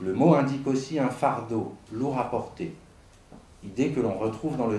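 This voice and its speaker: A man speaks at a fairly slow pace and medium pitch. His pitch varies in an ordinary way, and room echo is audible. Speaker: psychoanalyst speaking at a conference. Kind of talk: conference talk. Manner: formal, read from text.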